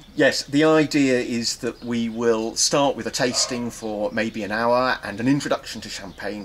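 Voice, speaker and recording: In an English accent, a man talks at a moderate pace with ordinary pitch variation. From England. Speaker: wine professor. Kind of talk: interview. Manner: measured, some hesitations.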